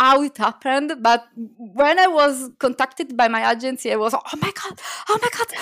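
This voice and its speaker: At a moderate pace, a woman with an Italian accent speaks at a high pitch with ordinary pitch variation. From Italy. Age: 30s. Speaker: children's book illustrator. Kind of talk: casual interview chat.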